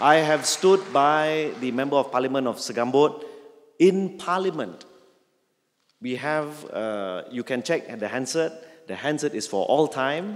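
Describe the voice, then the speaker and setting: Speaking at a fairly slow pace, a man with an unremarkable speaking voice uses lively intonation at a fairly high pitch. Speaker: member of parliament. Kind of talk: public speech.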